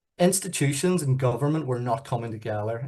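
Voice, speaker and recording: A man with a Northern Irish accent at a medium pitch, somewhat breathy, at a fairly quick pace with ordinary pitch variation, against a quiet background. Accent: very Northern Irish. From Northern Ireland, Belfast. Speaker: youth organisation chief executive. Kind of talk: presentation.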